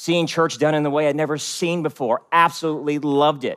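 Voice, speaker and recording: A man with an American accent speaks at a fairly quick pace in an unremarkable speaking voice, his pitch fairly high, on a very clean recording with a silent background. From US, West Virginia. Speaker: pastor. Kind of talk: sermon.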